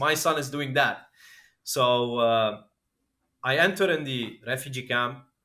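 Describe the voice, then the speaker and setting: On a very clean recording with a silent background, a man with a Lebanese accent speaks in a bright, sharp tone. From Lebanon. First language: Arabic. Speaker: crypto entrepreneur. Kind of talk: podcast interview, personal story.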